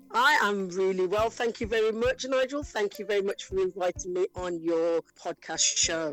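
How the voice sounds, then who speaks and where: A woman with a Wolverhampton accent speaks at a moderate pace and medium pitch, with ordinary pitch variation, hardly any pauses, a dry, close sound with no echo, and noticeable background noise. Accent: Wolverhampton twang. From West Midlands, England (Wolverhampton). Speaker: actress and playwright. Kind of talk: interview. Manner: halting.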